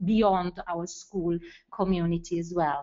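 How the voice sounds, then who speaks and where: A woman with an Italian accent, speaking at a fairly slow pace. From Italy. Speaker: school educator, webinar participant. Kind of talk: webinar discussion comment. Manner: halting, many fillers.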